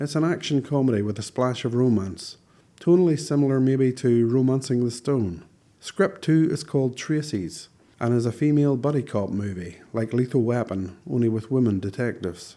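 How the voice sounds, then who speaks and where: Recorded very cleanly against a silent background, the voice carries a Northern Irish accent, a dark, mellow tone and lively intonation. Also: man, medium pitch for a man, moderate pace. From Northern Ireland. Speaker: screenwriter and video blogger. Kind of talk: casual scripted monologue.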